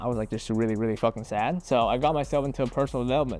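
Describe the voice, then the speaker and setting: Ordinary pitch variation with a Vietnamese accent, over music in the background. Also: man. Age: 20s. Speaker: entrepreneur YouTuber. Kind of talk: casual vlog monologue. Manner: casual, conversational.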